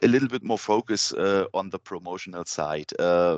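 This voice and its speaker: A man speaks at a fairly slow pace with ordinary pitch variation. The sound is dry and close, with no echo. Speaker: band member. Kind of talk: interview. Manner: halting, many fillers.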